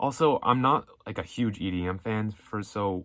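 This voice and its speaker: A man mumbles with lively intonation. The recording is very clean and the background silent. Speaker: music commentary youtuber. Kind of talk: casual one-take monologue. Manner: mumbling; casual, unscripted.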